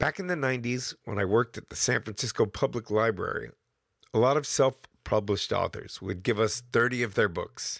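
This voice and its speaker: A man with a normal speaking voice in an American accent, at a fairly quick pace, medium pitch and ordinary pitch variation, on a very clean recording with a silent background and a dry, close sound with no echo. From US Northeast. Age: 50s. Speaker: podcast host. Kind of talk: scripted narration; casual chat.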